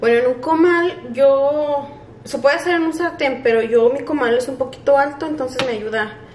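A woman talks at a moderate pace in a high voice with ordinary pitch variation. Light background noise and audible room echo are present. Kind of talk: tutorial. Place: kitchen. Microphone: camera far.

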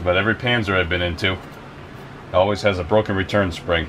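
Speech at a fairly quick pace with fairly even intonation plays over noticeable background noise. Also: man. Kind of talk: tutorial. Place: workshop. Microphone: camera far.

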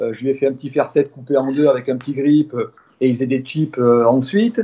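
A man with a fairly high pitch speaks at a moderate pace with ordinary pitch variation, in an ordinary speaking voice. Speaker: father of a golfer. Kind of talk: interview.

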